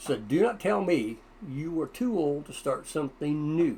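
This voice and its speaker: A fairly slow pace with very wide pitch swings. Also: man. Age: 70s. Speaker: YouTuber giving life advice. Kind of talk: casual vlog monologue. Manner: conversational with hesitations.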